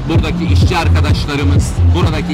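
Loud music plays in the background. A man speaks over it at a fairly quick pace. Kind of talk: interview answer. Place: street. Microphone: handheld.

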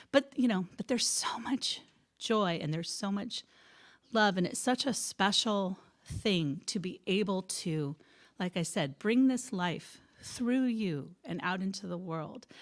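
Lively in intonation, a woman's speech unfolds at a fairly slow pace. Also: quiet background. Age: 50s. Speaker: speaker at a spiritual center. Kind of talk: talk to a congregation. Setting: stage with audience. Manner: halting, many fillers. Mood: heartfelt, reflective. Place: church. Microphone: handheld.

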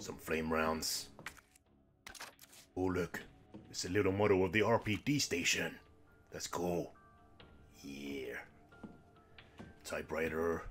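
A cartoonish character voice moves at a fairly slow pace with long, frequent pauses while faint music plays in the background. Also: man, very deep, low pitch for a man. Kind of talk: lets-play commentary. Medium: puppet show. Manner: chirpy, excitable, jokey.

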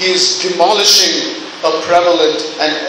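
A man talks at a fairly slow pace and a high pitch. There is strong room echo and noticeable background noise. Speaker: preacher. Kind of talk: sermon. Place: church.

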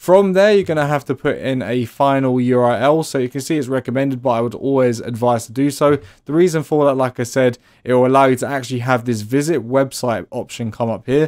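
A man speaks at a fairly quick pace and medium pitch, his tone slightly mellow, with ordinary pitch variation. The recording is very clean, with a silent background.

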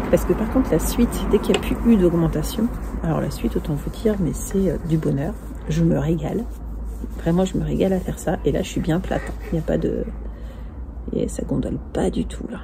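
Amid noticeable background noise, a woman speaks at a fairly quick pace with long, frequent pauses. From northern France. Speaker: knitting podcaster. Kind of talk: casual chat. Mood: enthusiastic, pleased. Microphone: earbuds.

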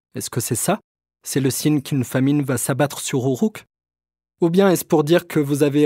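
A man's dark, mellow voice sits at a fairly high pitch with ordinary pitch variation, recorded very cleanly with a silent background and a dry, close sound with no echo. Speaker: podcast host and narrator. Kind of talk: educational storytelling with role-play interview. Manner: conversational, curious, informal.

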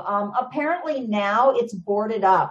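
Very wide pitch swings in a woman's speech. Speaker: guest. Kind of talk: interview answer. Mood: enthusiastic storytelling. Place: home room. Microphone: video call.

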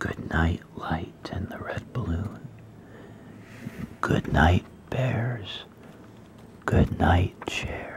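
Someone whispers at a very slow pace, leaving long, frequent pauses. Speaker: reader. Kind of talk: read-aloud bedtime story. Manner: soft-spoken. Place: home room. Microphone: phone near.

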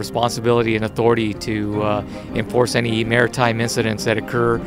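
The recording is dry with no echo, and clear music plays in the background. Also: man. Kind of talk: interview answer. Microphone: handheld.

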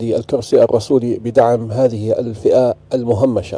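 Speaking very slowly in a Jordanian accent, a man keeps his medium pitch at fairly even intonation, and the sound is dry with no echo. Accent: Levantine Arabic (Jordanian). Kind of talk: talk show discussion. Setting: studio. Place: studio. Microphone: studio mic.

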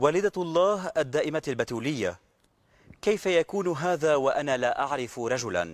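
In an unremarkable speaking voice, a man talks fairly slowly at a fairly high pitch, the sound dry with no echo. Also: lively intonation. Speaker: TV presenter. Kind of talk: TV talk show. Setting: TV studio. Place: garden. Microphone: lapel.

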